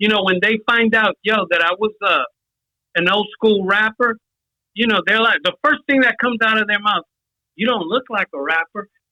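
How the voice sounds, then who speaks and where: The speaker has a New York accent. The pace is moderate. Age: 60s. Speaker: hip hop pioneer, old school rapper. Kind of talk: casual chat. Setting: phone call.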